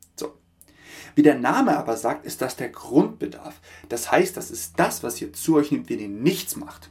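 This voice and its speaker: Big swings in loudness mark this man's fairly slow speech. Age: 30s. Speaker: podcast host. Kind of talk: solo podcast monologue. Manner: filler-heavy, with frequent ähm.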